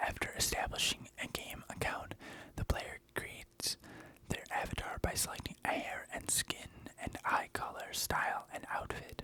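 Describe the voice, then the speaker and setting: The speaker is whispering at a moderate pace. Noticeable background noise can be heard. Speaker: ASMR creator. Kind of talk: whispered reading of a Wikipedia article. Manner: whispered.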